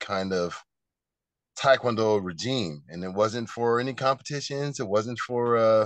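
Here a man speaks at a fairly slow pace with ordinary pitch variation. The background is quiet and the sound dry, without echo. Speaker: martial arts teacher, guest. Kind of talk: interview answer. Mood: relaxed storytelling.

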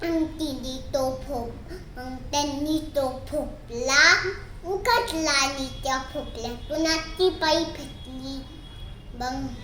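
Against noticeable background noise, a woman uses a raised, projected voice at a high pitch with ordinary pitch variation. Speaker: storyteller. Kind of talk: children's story narration.

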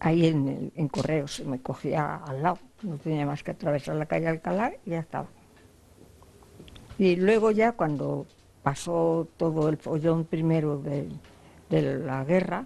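Speaking fairly slowly with long, frequent pauses, a woman uses a very deep, low voice with a dark, mellow tone. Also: ordinary pitch variation. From Spain, Burgos; Spain. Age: 90s. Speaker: interviewee. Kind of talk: interview. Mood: nostalgic, lively. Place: home room.

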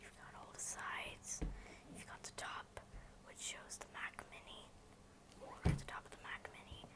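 A whisper with long, frequent pauses, moving at a moderate pace. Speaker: unboxing creator. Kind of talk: ASMR unboxing. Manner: whispered. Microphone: phone near.

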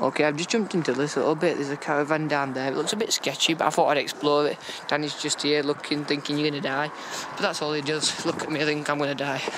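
Amid noticeable background noise, a man talks at a very fast pace with fairly even intonation. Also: dry sound with no echo. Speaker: urban explorer vlogger. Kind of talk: casual vlog chat. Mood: wary, slightly nervous. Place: street. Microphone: phone near.

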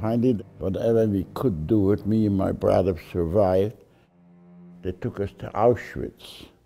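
Music plays in the background as the voice moves at a fairly slow pace with ordinary pitch variation. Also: man, fairly low pitch for a man. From Poland. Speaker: Holocaust survivor. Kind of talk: oral history interview answer.

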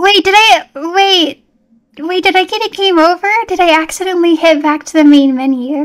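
Against a quiet background, a woman talks at a moderate pace with an extremely high pitch. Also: ordinary pitch variation. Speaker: livestreamer playing horror games. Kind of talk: casual livestream gameplay chat. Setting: live stream with online chat. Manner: animated, excitable. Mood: nervous, relieved, soft. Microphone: studio mic.

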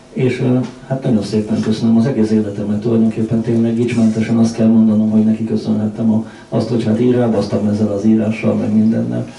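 In a room with audible echo, a man rattles off words at a very fast pace with a medium pitch, monotone, flat intonation, and very even loudness. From Hungary. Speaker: writer. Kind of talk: panel discussion. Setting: stage with audience. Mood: warm, reminiscing. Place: shop.

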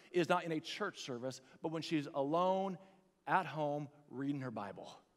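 At a fairly high pitch, a man with an unremarkable speaking voice talks at a moderate pace with ordinary pitch variation against a quiet background. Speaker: pastor. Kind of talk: sermon; fervent prayer, eyes-closed invitation to recommit. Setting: church with congregation. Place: stage. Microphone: headset.

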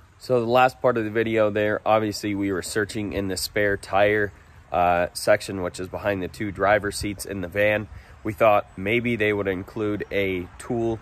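Here a man talks at a moderate pace and fairly low pitch, with fairly even intonation. He has an unremarkable speaking voice. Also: dry sound with no echo. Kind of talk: tutorial recap to camera. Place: garden. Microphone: phone near.

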